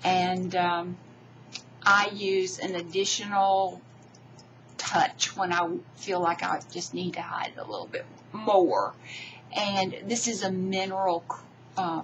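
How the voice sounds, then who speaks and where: At a very slow pace, a woman speaks at medium pitch with monotone, flat intonation and long, frequent pauses. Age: 60s. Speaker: beauty vlogger. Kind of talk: tutorial. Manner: halting.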